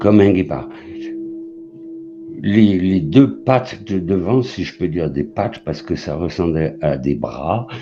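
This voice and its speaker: Over music in the background, a man with a very deep, low pitch speaks at a very slow pace, his pitch swinging very widely between long, frequent pauses. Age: 60s. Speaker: caller sharing a paranormal sighting. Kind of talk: testimony. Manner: halting.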